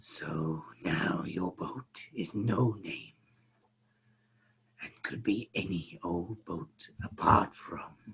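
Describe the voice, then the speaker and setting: A whispering man in a put-on character voice, going very slowly. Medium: actual play. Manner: formal, measured, polite.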